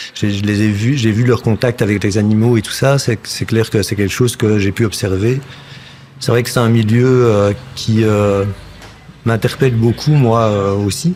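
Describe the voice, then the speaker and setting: A man's medium-pitched voice with a slight Flemish accent, fairly slow pace and fairly even intonation, over noticeable background noise. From Belgium, village near Brussels. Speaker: actor and puppeteer. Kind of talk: casual chat.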